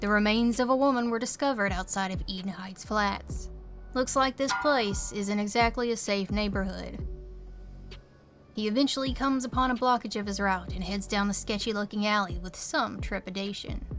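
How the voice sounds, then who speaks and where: A woman keeps a moderate tempo while music plays behind her voice. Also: medium pitch for a woman, ordinary pitch variation. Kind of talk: video essay narration. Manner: casual, wry.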